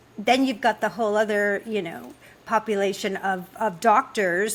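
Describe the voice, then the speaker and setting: A woman's medium-pitched voice at a moderate pace, a plain, everyday voice. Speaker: podcast host. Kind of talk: casual podcast conversation.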